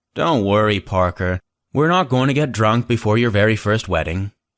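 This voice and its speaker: A man's put-on character voice, fairly low in pitch, with lively intonation at a moderate pace, on a very clean recording with a silent background. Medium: read story.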